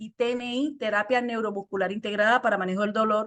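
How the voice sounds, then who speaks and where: A woman with a Colombian Caribbean accent, fairly high in pitch, fairly even in intonation, against a quiet background. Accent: Colombian Caribbean coastal Spanish. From Colombia, Caribbean coast (Cartagena). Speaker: lymphatic therapist and trainer. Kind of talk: online presentation. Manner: fast.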